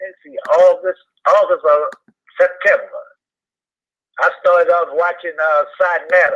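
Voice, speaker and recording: A man at a fairly slow pace. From New Orleans, Louisiana. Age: 60s. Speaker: YouTube commentator. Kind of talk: interview. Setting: phone call.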